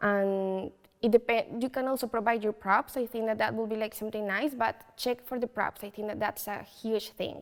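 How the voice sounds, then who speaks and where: A woman with a Colombian accent speaks at a moderate pace. Her fairly high pitch stays fairly even. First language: Spanish. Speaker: photo booth business owner. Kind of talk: interview. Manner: hesitant, many fillers.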